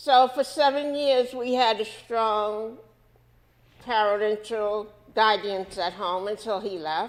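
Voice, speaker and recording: Speech comes at a very slow pace with a New York accent and ordinary pitch variation. The recording is very clean, with a silent background. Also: woman, fairly high pitch for a woman. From New York City, Washington Heights. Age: 70s. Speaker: civil rights activist. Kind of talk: interview.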